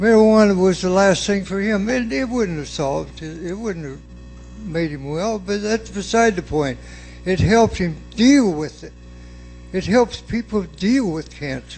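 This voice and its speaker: Music plays behind a high-pitched man talking at a moderate pace. His loudness swings widely. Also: ordinary pitch variation. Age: 70s. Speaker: resident speaking at public hearing. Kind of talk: public comment at city meeting. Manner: agitated; halting, repetitive.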